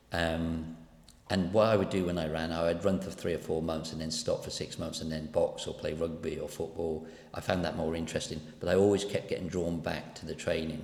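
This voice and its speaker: A man talks at a fairly quick pace in a very deep, low voice with monotone, flat intonation. Room echo is audible. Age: 60s. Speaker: running coach. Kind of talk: personal vlog monologue. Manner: casual, rambling.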